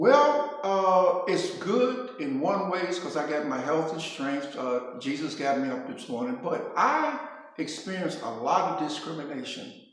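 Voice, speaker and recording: In a room with audible echo, a man speaks fairly slowly with very wide pitch swings. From Brooklyn, New York. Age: 70s. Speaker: former basketball player. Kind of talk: casual interview.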